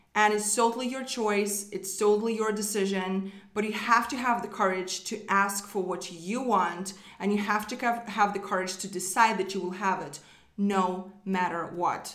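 With a non-native accent, a woman speaks at a moderate pace in a medium pitch and an upbeat, animated tone. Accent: foreign-accented English. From outside the US, immigrant. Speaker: business coach and podcast host. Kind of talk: solo motivational talk. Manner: upbeat, animated, encouraging.

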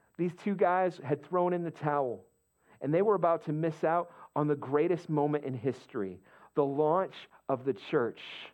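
Long, frequent pauses break up a man's animated tone, lively intonation, fairly high pitch and moderate pace. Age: 40s. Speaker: pastor. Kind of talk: sermon. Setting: church.

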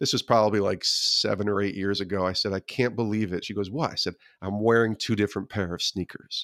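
A man with an American accent talks at a fairly quick pace in a fairly low pitch, his intonation fairly even, in a plain, everyday voice. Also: dry, close sound with no echo. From upstate New York (Albany area). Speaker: former sports TV producer, faith-and-sports author. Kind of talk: interview conversation.

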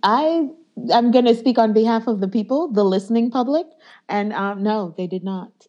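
Her tone dark and mellow, a woman speaks with a fairly high pitch and ordinary pitch variation. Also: moderate pace. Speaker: podcast co-host. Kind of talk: casual chat.

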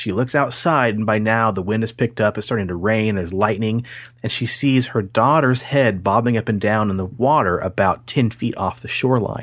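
A man's medium-pitched voice at a fairly quick pace with ordinary pitch variation, on a very clean recording with a silent background. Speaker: paranormal podcast host. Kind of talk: casual chat. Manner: slight tongue-tie, stumbles on sibilants.

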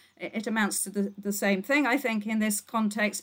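Somewhat breathy, the woman's voice sits at a fairly high pitch. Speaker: law lecturer. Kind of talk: casual academic discussion.

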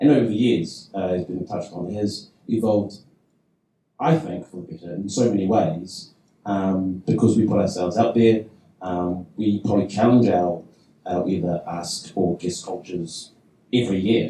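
This man's voice is somewhat breathy, with a dark, mellow tone and a fairly low pitch. His pitch variation is ordinary. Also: moderate pace, big swings in loudness. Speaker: improv performer and teacher. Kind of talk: panel discussion.

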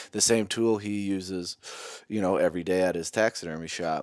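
A man at a moderate pace, dry and close with no echo, on a very clean recording with a silent background. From Minnesota. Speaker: knife company owner, hunter. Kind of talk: casual chat. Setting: home basement.

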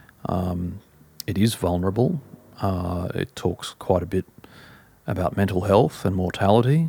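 A man speaks with a very deep, low pitch. His tone is dark and mellow, and his pace is fairly slow. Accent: Australian. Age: 40s. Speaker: music journalist and author. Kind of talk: casual interview. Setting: at home.

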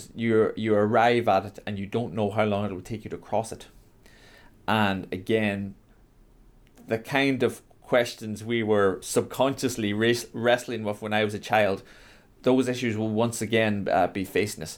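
This man speaks with a Donegal accent at a moderate pace, his voice fairly low and his intonation flat and monotone. The recording is very clean, with a silent background. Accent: Donegal Irish. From Ireland, Donegal. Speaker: writer and lecturer. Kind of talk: interview.

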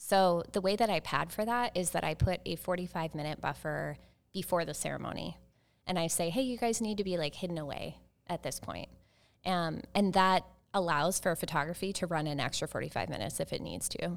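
A woman speaks fairly quickly in a normal speaking voice, her pitch fairly low and its variation ordinary, on a very clean recording with a silent background. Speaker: wedding planner and business owner.

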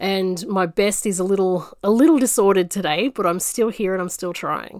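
With an Australian accent, a woman talks with ordinary pitch variation. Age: 40s. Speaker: podcast host. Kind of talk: casual monologue. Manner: halting.

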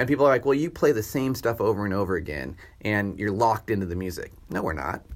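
A man talks at a very fast pace in a fairly low pitch. His pitch swings very widely. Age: 40s. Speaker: orchestra conductor. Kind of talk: casual chat.

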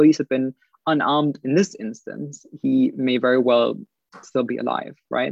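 A man with a German accent, medium pitch, ordinary pitch variation and a moderate pace. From Germany. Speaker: political commentator. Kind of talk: casual chat.

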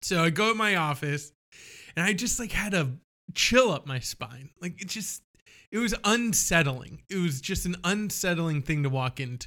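A man's high voice with lively intonation at a moderate pace. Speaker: podcast host. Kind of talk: casual chat. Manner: self-conscious, trying to avoid verbal tics.

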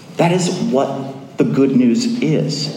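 A man speaks very slowly at a fairly high pitch, with lively intonation. Audible room echo and noticeable background noise fill the recording. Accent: Mid-Atlantic American. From US, northern Virginia. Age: 30s. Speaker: pastor. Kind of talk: sermon.

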